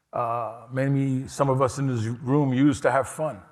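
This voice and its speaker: Recorded very cleanly against a silent background, a man with a New York accent speaks with fairly even intonation. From New York City, Lower East Side. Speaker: harm reduction nonprofit director, keynote speaker. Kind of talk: keynote speech. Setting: conference stage with audience.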